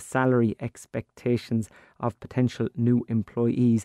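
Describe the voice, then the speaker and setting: With an Irish accent, a man talks at a fairly slow pace in a dry, close sound with no echo. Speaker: radio presenter of a farming show. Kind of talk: radio interview. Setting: studio.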